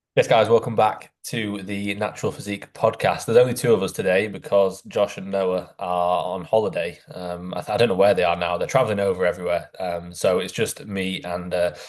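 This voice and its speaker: A man with a Yorkshire accent speaks at a fairly low pitch and a fairly quick pace, with fairly even intonation and hardly any pauses. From northern England, near Doncaster. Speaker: physique coach and podcast host. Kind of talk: casual podcast chat.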